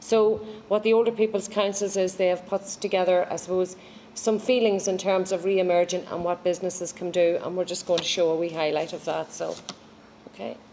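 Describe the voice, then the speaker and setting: A woman's fairly quick speech in an Irish accent. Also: medium pitch for a woman. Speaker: age friendly programme official. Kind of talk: formal event speech. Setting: live-streamed launch event.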